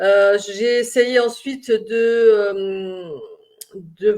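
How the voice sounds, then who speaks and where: A woman's fairly high-pitched voice. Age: 60s. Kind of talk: personal vlog monologue. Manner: halting, many hesitations.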